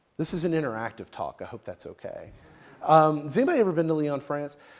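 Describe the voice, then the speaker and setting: A man with a Southern US accent and a fairly high pitch. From US South, Tennessee, rural. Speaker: researcher presenting on atheism. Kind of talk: lecture. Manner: halting, many fillers and repeats.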